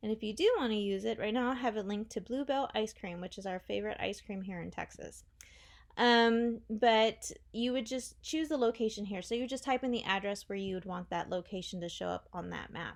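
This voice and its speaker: Against a quiet background, a woman speaks at a fairly quick pace. Her pitch is fairly high, with ordinary pitch variation. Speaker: web theme designer. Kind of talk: tutorial. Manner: fast; casual.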